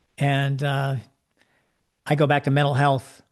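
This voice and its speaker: A man with a fairly high pitch and a somewhat breathy voice is heard over a quiet background. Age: 70s. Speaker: life coach. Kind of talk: interview.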